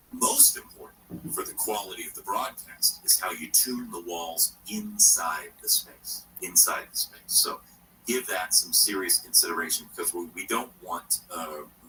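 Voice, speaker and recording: Over noticeable background noise, a man talks with hardly any pauses and big swings in loudness. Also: fairly slow pace. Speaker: radio host. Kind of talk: radio call-in advice. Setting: backyard shed studio.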